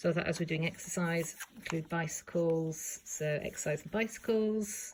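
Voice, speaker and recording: A woman speaks at a fairly low pitch in a somewhat breathy voice with fairly even intonation. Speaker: junk journal crafter. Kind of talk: casual talk to camera. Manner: rambling.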